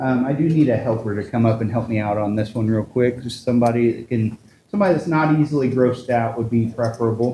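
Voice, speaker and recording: A man talks at a very fast pace with a medium pitch. His tone is dark and mellow, and somewhat breathy. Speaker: sideshow performer. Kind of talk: live stage performance. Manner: animated.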